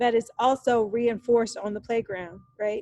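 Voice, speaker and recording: With an American accent, a woman speaks at a moderate pace with a fairly high pitch and fairly even intonation in a dry, close sound with no echo. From Texas, Dallas. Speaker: university lecturer. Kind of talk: lecture. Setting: recorded lecture over slides. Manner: casual, with many fillers.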